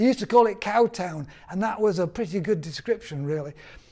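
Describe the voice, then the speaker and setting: In a Yorkshire accent, a man speaks at a high pitch with a dark, mellow tone. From northern England, Yorkshire (Bradford). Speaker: author and former newspaper reporter. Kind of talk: personal storytelling. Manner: halting.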